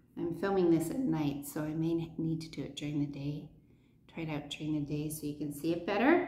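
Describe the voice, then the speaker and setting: A woman with a very deep, low pitch and a dark, mellow, somewhat breathy tone speaks at a fairly quick pace amid audible room echo. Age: 60s. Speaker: beauty vlogger. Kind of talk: product review. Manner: animated. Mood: cheerful, relaxed. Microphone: phone near.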